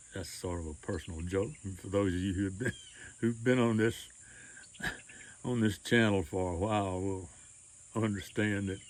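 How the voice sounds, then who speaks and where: With a Mississippi accent, a man speaks at a moderate pace. His fairly low voice keeps fairly even intonation. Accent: Southern US (Mississippi). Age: 80s+. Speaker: retired storyteller and author. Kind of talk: casual personal announcement to camera.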